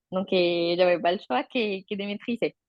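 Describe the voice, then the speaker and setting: Her pitch moves in an ordinary way. This woman talks fairly slowly. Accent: Colombian. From Colombia, Bogota. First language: Spanish (speaking French). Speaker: interviewee, mother. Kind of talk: interview. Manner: halting, with repetitions.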